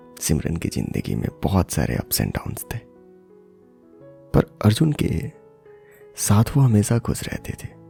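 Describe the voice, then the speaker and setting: Over music in the background, a man with a fairly low pitch speaks in a calm, soothing tone, with very wide pitch swings and long, frequent pauses. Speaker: voice-over artist and former radio jockey. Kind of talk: storytelling podcast narration.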